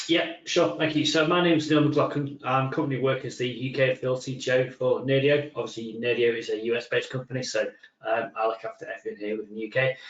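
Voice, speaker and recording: Over noticeable background noise, a man with a medium pitch talks at a very fast pace with hardly any pauses and ordinary pitch variation. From northern England, Manchester. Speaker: software company technical executive. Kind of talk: webinar presentation. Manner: hesitant, many fillers.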